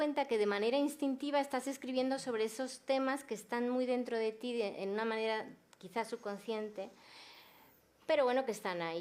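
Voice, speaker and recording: A woman speaks at a fairly high pitch. Her pace is moderate, with ordinary pitch variation. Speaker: novelist. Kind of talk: panel discussion.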